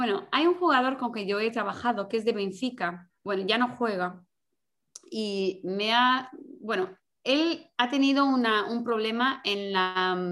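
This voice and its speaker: A woman's fairly high voice, lively in intonation, at a fairly slow pace. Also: very clean recording, silent background. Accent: Portuguese. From Portugal. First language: Portuguese (speaking Spanish). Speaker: sports mental coach. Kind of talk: interview. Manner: halting.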